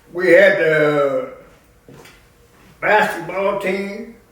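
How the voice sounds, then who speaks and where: Noticeable background noise sits behind a man's high-pitched voice. He speaks at a very slow pace. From Grant County, Indiana, USA. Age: 80s+. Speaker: war veteran and funeral director. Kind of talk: interview answer.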